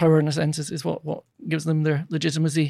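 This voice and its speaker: At a very fast pace, a man with a Scottish accent speaks in a somewhat breathy, fairly high voice on a very clean recording with a silent background. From Scotland. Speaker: political science professor. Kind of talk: interview. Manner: halting, many repetitions.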